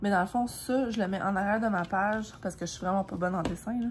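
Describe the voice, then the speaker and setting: In a Quebec accent, a woman speaks somewhat breathily at a very fast pace. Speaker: vlogger. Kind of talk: casual vlog talk. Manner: casual, many fillers.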